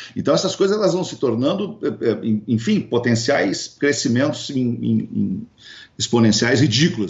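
With vocal fry, a man speaks at a medium pitch, making very wide pitch swings. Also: fairly slow pace. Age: 50s. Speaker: radio broadcaster and entrepreneur. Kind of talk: interview. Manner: hesitant with frequent repetitions.

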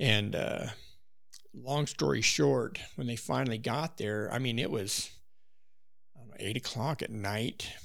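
Vocal fry runs through lively intonation at a fairly slow pace, broken by long, frequent pauses. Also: man, medium pitch for a man. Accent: American. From Wyoming, US. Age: 60s. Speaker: backcountry hunter. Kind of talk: casual chat with hunting stories.

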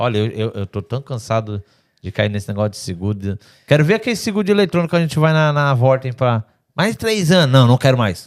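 A man with a medium pitch speaks at a fairly quick pace in an animated tone, his pitch swinging very widely, on a very clean recording with a silent background and a dry, close sound with no echo. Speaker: podcast host. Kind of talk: casual chat. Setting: studio.

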